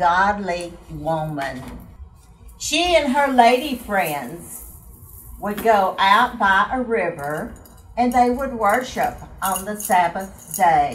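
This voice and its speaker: With faint music in the background, a woman speaks at a very slow pace. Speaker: Bible storyteller. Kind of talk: children's Bible story with singing. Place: home room. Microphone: camera far.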